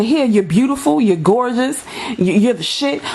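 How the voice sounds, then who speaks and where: A woman with a high pitch and an animated tone, very wide pitch swings and a fairly quick pace, over noticeable background noise. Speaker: YouTuber. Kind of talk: vlog rant. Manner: fast.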